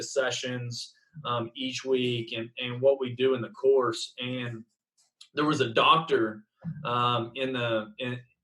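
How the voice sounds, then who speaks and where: With an Oklahoma accent, a man talks at medium pitch in a monotone, flat intonation. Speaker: baseball coach. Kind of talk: interview answer. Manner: casual, hesitant fillers.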